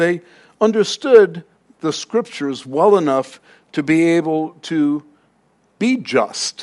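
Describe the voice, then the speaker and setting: A man speaks at a fairly high pitch with very wide pitch swings. His pace is very slow, and the background is quiet. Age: 60s. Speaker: pastor. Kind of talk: sermon.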